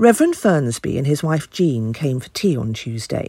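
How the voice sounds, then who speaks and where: Somewhat breathy, a woman speaks at a moderate pace with a British accent. Her pitch swings very widely. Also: dry, close sound with no echo. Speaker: voice actor playing an aunt. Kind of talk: cozy mystery audio drama, letter read in character. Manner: prim, tart, huffy older English lady voice, sardonic and gossipy.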